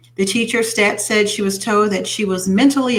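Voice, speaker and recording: Over noticeable background noise, a woman at a medium pitch talks at a fairly quick pace with fairly even intonation. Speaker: internet radio host. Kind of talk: reading news stories with comments.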